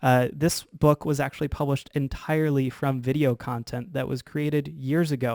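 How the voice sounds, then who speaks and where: This man talks with a fairly high pitch, fairly even intonation and hardly any pauses. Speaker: video producer and seminar speaker. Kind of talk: webinar presentation. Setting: video call. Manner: fast.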